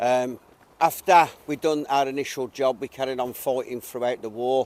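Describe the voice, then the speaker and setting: In a Birmingham accent, a man talks at a moderate pace and medium pitch with monotone, flat intonation. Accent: Brummie. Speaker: WWII reenactor. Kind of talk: casual explanation to visitors.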